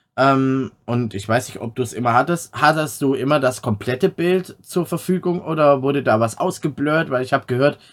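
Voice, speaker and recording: His pitch varies in an ordinary way. The man's recording is very clean, and the background is silent. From Swabia, Stuttgart area, Germany. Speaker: podcast host and streamer. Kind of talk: casual chat.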